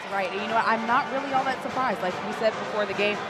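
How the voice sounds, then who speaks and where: Noticeable background noise sits behind the speaker. She is a woman with lively intonation. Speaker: sports analyst. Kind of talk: basketball color commentary.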